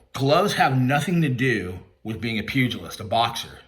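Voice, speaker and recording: A man speaks with audible room echo around him. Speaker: YouTube commentator and credit repair worker. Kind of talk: callout rant video. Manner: loud and clear; confrontational.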